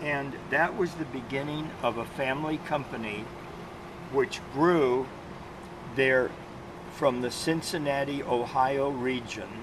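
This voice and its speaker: With noticeable background noise, a man talks in fairly even intonation, leaving long, frequent pauses. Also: fairly slow pace. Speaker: product representative trainer. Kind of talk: lecture. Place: workshop. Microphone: phone near.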